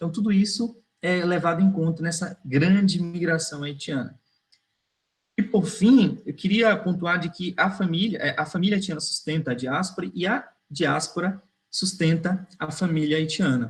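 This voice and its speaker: A high-voiced man talks at a medium speed, his pitch shifting in an ordinary way. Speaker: migration researcher. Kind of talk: online academic talk. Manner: hesitant fillers.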